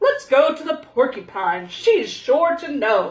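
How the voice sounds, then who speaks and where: A woman's high-pitched put-on character voice, fairly slow, with very wide pitch swings. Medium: read story. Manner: hearty, loud.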